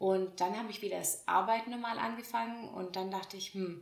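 A woman's medium-pitched voice, fairly slow in pace, with fairly even intonation. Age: 20s. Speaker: podcast host. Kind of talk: casual monologue.

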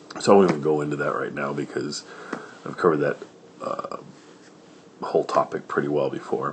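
At a fairly quick pace yet with long, frequent pauses, a man speaks in a relaxed tone over noticeable background noise. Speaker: podcast host. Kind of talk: casual podcast intro and outro, conversational. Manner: relaxed, informal, somewhat halting with fillers.

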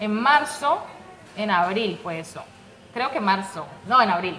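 A woman speaks at a medium pitch against noticeable background noise. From Colombia, Pradera, Valle del Cauca. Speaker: domestic worker. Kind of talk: interview. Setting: restaurant back room.

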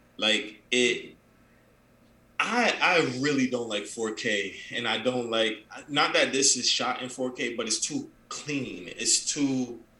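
A man with a medium pitch and a bright, sharp tone speaks at a slow pace with ordinary pitch variation, with audible room echo.

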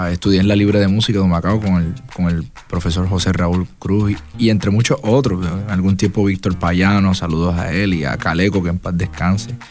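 A man with a very deep, low voice talks fairly quickly, and noticeable background noise is audible. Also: fairly even intonation. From Puerto Rico, Las Piedras. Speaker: salsa singer and flutist. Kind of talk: interview. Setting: recorded on location in rural Puerto Rico.

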